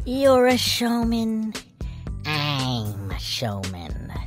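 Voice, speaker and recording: A put-on character voice moves at a very slow pace. Clear music plays behind it. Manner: theatrical, excited.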